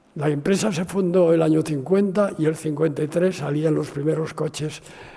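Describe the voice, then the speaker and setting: A man pitched fairly high talks at a moderate speed, his intonation fairly level, while noticeable noise sounds in the background. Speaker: architect. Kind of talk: interview. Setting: university talk with audience. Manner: halting.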